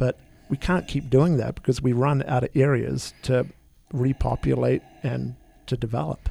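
The sound is dry and close with no echo as a man talks at a moderate speed. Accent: New Zealand. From New Zealand. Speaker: winery managing director. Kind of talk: radio interview.

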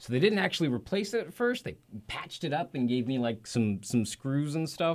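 Speaking at a fairly quick pace, a fairly high-pitched man swings his pitch very widely. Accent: American. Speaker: musician and recording engineer. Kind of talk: interview. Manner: halting, many fillers and repetitions.

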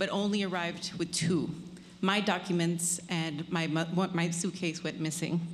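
A woman's somewhat breathy, fairly low voice at a fairly slow pace, with very even loudness and audible room echo. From Colombia. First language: Spanish. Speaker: storyteller. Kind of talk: live storytelling.

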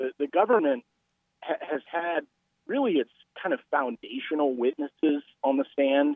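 A man with a normal speaking voice, fairly high-pitched, at a moderate pace with ordinary pitch variation. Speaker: newspaper columnist. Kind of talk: radio interview.

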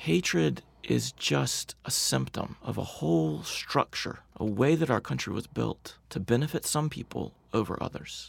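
With a Southern US accent, a man uses a very deep, low pitch, vocal fry, and very wide pitch swings at a fairly slow pace. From US South. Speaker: nonprofit co-founder with a congregational background. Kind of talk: radio interview. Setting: studio.

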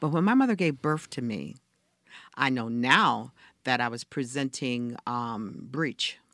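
Speaking fairly slowly with an American accent, a woman uses a very deep, low pitch and vocal fry. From US South, rural Georgia. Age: 70s. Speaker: reverend and community health advocate. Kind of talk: interview conversation.

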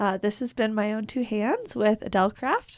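Very clean recording with a silent background. A woman in a normal speaking voice keeps her intonation fairly even. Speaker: podcast co-host. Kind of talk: interview.

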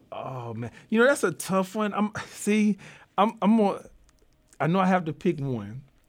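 A man's high voice in a Southern US accent, fairly slow pace and very wide pitch swings, very clean recording with a silent background. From US South, southeast Arkansas. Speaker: diversity consultant and columnist. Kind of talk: interview conversation. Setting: studio.

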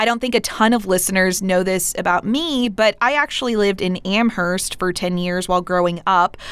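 A woman with an American accent has an unremarkable speaking voice at a medium pitch with ordinary pitch variation. She talks at a fairly quick pace with hardly any pauses. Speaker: public radio host. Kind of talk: radio interview. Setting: studio.

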